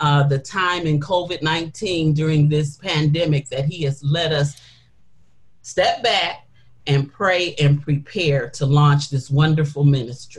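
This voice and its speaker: A woman with an American accent speaks at a very deep, low pitch. Her somewhat breathy delivery moves at a fairly slow pace. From Detroit, Michigan. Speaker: women's ministry leader. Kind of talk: interview.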